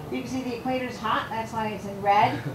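A woman speaks at a fairly quick pace, with noticeable background noise behind. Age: 60s. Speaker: ESL teacher. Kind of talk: public panel presentation. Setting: public forum with live audience. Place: meeting room.

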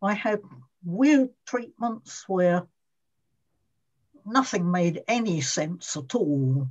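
Against a quiet background, a somewhat breathy woman speaks very slowly, with long, frequent pauses and very wide pitch swings. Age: 80s+. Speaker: former emetophobia sufferer. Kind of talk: interview answer. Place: home room. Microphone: video call.

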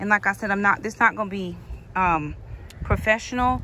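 There is vocal fry in this woman's voice, with ordinary pitch variation, light background noise and a dry sound with no echo. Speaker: home gardener vlogger. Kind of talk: casual vlog chat. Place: garden. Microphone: phone near.

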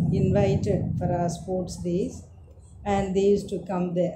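Noticeable background noise sits behind this recording. A woman speaks at a very slow pace. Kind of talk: interview answer. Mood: warm, reminiscing, smiling. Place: home room. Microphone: camera far.

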